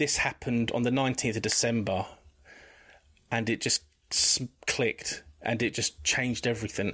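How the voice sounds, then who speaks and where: Speaking with an English accent at a moderate pace, a man of medium pitch has a bright, sharp tone, very even loudness, fairly even intonation and long, frequent pauses. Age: 40s. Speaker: guest sharing mental health experience. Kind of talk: testimony. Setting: video call.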